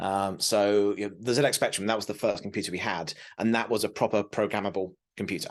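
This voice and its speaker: Against a quiet background, a man with a British accent rattles along at a very fast pace, his fairly low pitch held in a monotone, flat intonation. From southern England, south coast. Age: 40s. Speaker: tech advocate. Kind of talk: interview.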